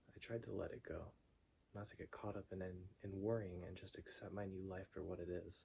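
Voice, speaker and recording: Soft-spoken and somewhat breathy, a man whispers at a moderate pace. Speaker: ASMR creator. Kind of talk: story narration. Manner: soft-spoken, whispery.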